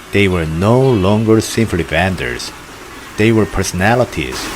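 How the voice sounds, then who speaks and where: Over noticeable background noise, a man with a fairly low pitch speaks at a moderate pace with lively intonation. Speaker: documentary narrator. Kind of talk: documentary narration.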